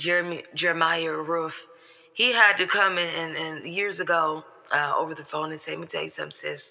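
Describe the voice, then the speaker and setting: At a moderate pace, a woman with fairly low pitch speaks in a bright, sharp tone with fairly even intonation. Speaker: online commentator. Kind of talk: reaction commentary.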